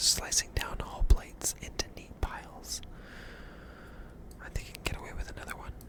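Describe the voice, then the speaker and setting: Whispering at a fairly quick pace, the speaker competes with noticeable background noise. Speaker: ASMR gaming creator. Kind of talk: soft spoken ASMR gaming. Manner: soft-spoken.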